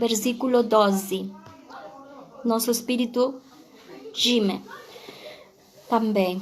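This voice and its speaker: A woman's very slow, flat, monotone speech in a Spanish accent at a fairly high pitch, with long, frequent pauses, noticeable background noise and audible room echo. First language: Spanish (speaking Portuguese). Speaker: pastor. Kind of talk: sermon. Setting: livestream on social media. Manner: halting.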